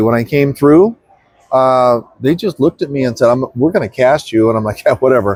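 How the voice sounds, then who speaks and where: In a dry, close sound with no echo, a man talks at a fairly quick pace with medium pitch and ordinary pitch variation, a plain, everyday voice. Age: 60s. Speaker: actor. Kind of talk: interview. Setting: convention.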